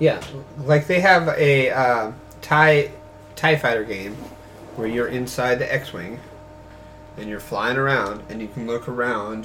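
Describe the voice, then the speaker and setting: A man speaks at medium pitch and a fairly slow pace, with long, frequent pauses and ordinary pitch variation. His loudness swings widely, and background noise is noticeable. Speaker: podcast co-host. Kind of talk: casual banter about games and movies.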